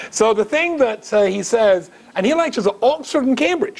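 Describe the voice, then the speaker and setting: Over noticeable background noise, a man with a high pitch speaks in an animated tone, his voice making very wide pitch swings. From Scotland, Glasgow. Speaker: rabbi, public speaker. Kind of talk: lecture to live audience.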